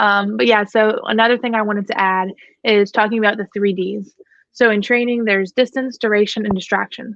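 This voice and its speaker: A woman's fairly high-pitched, unremarkable speaking voice with fairly even intonation. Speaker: dog trainer. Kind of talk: live Q&A stream.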